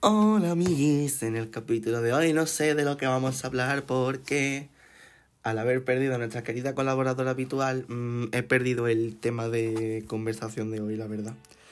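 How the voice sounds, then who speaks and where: Moderate pace from a man, medium pitch and ordinary pitch variation. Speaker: podcast host. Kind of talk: casual solo monologue. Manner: animated.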